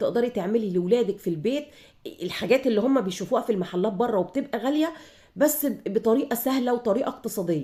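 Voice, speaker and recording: A woman's dark, mellow, somewhat breathy voice, at a fairly quick pace with lively intonation. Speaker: home cooking channel host. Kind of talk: cooking tutorial. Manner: casual, conversational.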